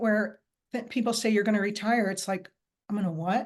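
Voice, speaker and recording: With a quiet background, a woman talks in an ordinary speaking voice, fairly high in pitch with ordinary pitch variation. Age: 60s. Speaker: wellness coach and face yoga instructor. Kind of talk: interview.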